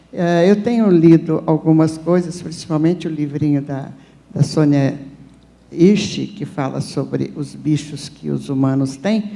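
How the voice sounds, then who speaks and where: A woman's very deep, low voice has a dark, mellow tone, ordinary pitch variation and a fairly slow pace. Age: 70s. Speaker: audience member. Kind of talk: audience question at panel. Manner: halting.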